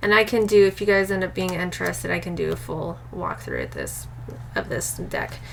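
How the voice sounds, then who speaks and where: Noticeable background noise sits beneath a woman talking at a fairly quick pace. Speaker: tarot and oracle card youtuber. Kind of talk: casual video review of card decks.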